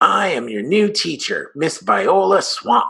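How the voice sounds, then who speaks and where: A man's put-on character voice, raspy and hissing, at a fairly slow pace. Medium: read story. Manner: snappish, commanding.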